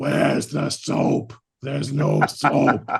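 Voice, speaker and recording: A put-on character voice, raspy in texture, drawls along at a very slow pace. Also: man. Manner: screaming, frantic.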